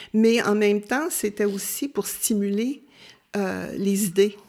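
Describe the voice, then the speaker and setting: Speaking at a very slow pace, a woman with a Quebec accent uses a medium pitch with ordinary pitch variation. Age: 70s. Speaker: retired volunteer. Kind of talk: interview. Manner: halting.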